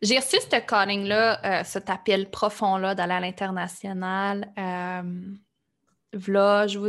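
A woman at a very slow pace over a quiet background. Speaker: life coach and podcaster. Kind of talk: interview. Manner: animated.

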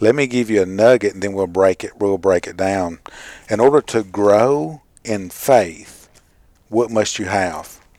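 A man talks at a fairly slow pace in an unremarkable speaking voice, fairly low in pitch, with ordinary pitch variation and big swings in loudness. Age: 40s. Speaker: radio Bible study co-host. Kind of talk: casual Bible study discussion.

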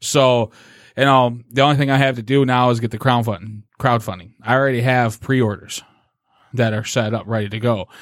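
A man with a normal speaking voice talks at medium pitch and a moderate pace. His intonation is fairly even on a very clean recording with a silent background. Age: 30s. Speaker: comic book creator. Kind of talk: casual chat. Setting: studio.

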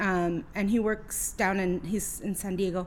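Female speaker with an American accent. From California, Oxnard. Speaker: labor union organizer. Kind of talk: casual chat. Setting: home garage studio.

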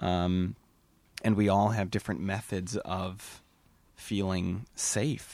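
A man with a very deep, low pitch and an American accent, very slow pace, long, frequent pauses, fairly even intonation, on a very clean recording with a silent background. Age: 30s. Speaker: podcast host. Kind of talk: casual chat.

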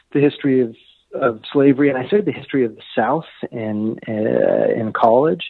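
A man speaks in a normal speaking voice with an American accent. His medium pitch has ordinary variation, and his pace is moderate. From Los Angeles, California. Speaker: history professor and author. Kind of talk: interview, call-in discussion.

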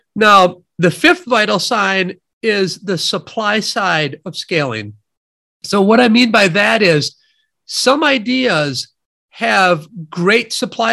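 A man with a Midwestern accent speaks at a very slow pace in a raised, projected voice, high in pitch with a bright, sharp tone and lively intonation. The recording is very clean with a silent background. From US Midwest, near Madison, Wisconsin. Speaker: economist, professor and author. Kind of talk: interview.

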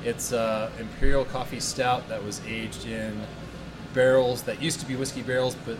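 Speech comes at a fairly quick pace with fairly even intonation. Noticeable background noise and audible room echo fill the recording. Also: man. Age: 40s. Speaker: craft brewer. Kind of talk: casual chat.

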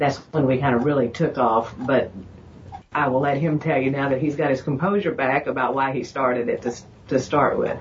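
A somewhat breathy woman talks at a fairly quick pace in a very deep, low pitch, with ordinary pitch variation. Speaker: health practice co-worker. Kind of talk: casual interview.

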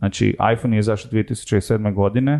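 A man's fairly low voice has a dark, mellow tone, heard against a quiet background. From Croatia, Zagreb. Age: 30s. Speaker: sociologist and tech entrepreneur. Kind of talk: casual interview chat.

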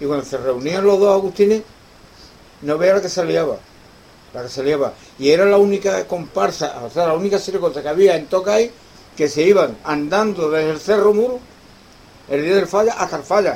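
Over noticeable background noise, a man talks at a high pitch, leaving long, frequent pauses. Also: ordinary pitch variation, moderate pace. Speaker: guitar teacher. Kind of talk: interview.

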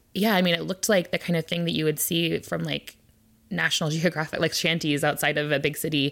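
Speaking very fast with a very deep, low pitch, fairly even intonation and vocal fry, a woman with an American accent is heard in a very clean recording with a silent background. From Olympia, Washington. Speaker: interviewee. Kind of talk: casual interview.

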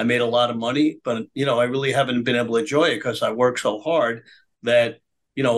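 With a New York accent, a man talks at a fairly quick pace in a medium pitch and fairly even intonation. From US Northeast, Brooklyn, New York. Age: 80s+. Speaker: businessman and political activist. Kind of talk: interview storytelling.

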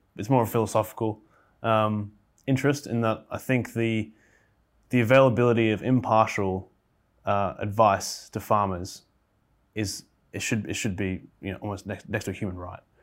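A man speaks with an Australian accent and fairly even intonation, leaving long, frequent pauses. The recording is very clean, with a silent background. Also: fairly low pitch for a man, moderate pace. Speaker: agricultural scientist. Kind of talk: casual chat.

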